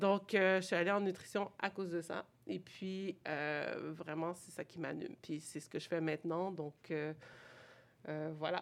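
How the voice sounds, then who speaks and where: In a Quebec accent, a woman speaks fairly slowly at a fairly low pitch. Her intonation stays fairly even, though her loudness swings widely. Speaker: nutritionist. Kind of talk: casual interview.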